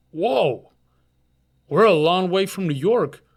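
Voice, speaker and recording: Using a put-on character voice, a man speaks nasally at a high pitch and a fairly slow pace, with ordinary pitch variation. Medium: read story. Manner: timid, apologetic, hesitant.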